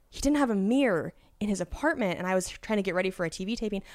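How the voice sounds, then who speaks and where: A woman with an American accent and an ordinary speaking voice, lively intonation and a fairly quick pace. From Washington State. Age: 30s. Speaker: comedian. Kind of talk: casual chat.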